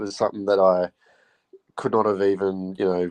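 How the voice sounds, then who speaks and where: Recorded with a dry, close sound and no echo, a man with an Australian accent and a dark, mellow tone talks at a moderate pace. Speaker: football fan. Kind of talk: casual chat.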